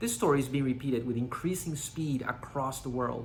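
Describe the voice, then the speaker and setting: With a Panamanian accent, a man speaks at a medium pitch and a fairly quick pace with ordinary pitch variation, and audible room echo surrounds his voice. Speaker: company CEO. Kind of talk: scripted presentation. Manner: formal.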